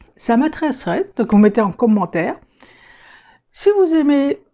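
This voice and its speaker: A woman's dark, mellow tone at a moderate pace over a quiet background. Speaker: energy healer and coach. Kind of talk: casual vlog to camera. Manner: hesitant, with fillers.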